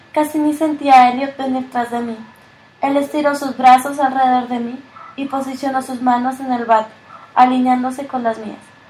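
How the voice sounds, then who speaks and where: There is noticeable background noise behind a woman's voice. She speaks at a moderate pace with a high pitch. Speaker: audiobook narrator. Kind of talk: literary audiobook reading. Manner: even narrator's pace, shifting gently into dialogue lines.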